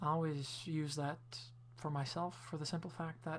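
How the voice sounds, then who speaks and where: The voice is somewhat breathy and moves at a moderate pace. The recording is very clean, with a silent background. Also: woman. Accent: Quebec. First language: French. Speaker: video blogger. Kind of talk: casual video response monologue.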